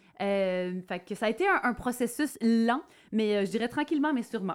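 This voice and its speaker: On a very clean recording with a silent background, a woman is heard talking. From Quebec. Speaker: country musician. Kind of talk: casual chat.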